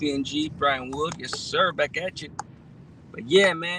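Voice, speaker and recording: In an ordinary speaking voice, the speaker uses an American accent and ordinary pitch variation. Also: man. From Los Angeles area, California. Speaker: live streamer. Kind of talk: casual live stream chat. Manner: laid-back, slangy with many fillers.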